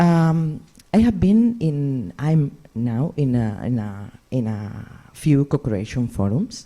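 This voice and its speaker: Very wide pitch swings run through a dark, mellow tone in a Catalan Spanish accent. The pace is very slow. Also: woman, very deep, low pitch for a woman. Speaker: patient organisation representative. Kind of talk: reading aloud. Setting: stage with audience. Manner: halting, non-fluent English.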